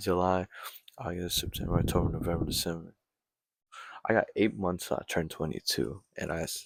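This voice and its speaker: A man with a very deep, low voice and vocal fry speaks at a fairly quick pace, with ordinary pitch variation. He pauses long and often. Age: 20s. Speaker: amateur boxer and vlogger. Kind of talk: casual late-night monologue. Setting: at home at midnight. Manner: quiet; rambling, halting.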